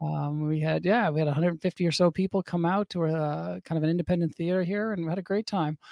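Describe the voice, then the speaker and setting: In a very clean, dry, close recording with a silent background and no echo, a man with a high voice talks at a very fast pace with fairly even intonation and hardly any pauses. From Newfoundland, Canada (St. John's). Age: 40s. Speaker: vegan advocate, author and speaker. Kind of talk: casual interview chat.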